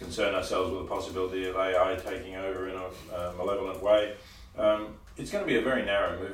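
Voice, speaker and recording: A man with a fairly low voice talks at a very fast pace, with audible room echo around him. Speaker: interviewee. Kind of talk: interview answer. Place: meeting room. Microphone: camera far.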